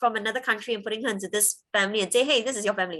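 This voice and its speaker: A woman speaks with a Cantonese accent. Her pitch is fairly high. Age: 30s. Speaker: interviewee sharing life story. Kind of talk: interview testimony.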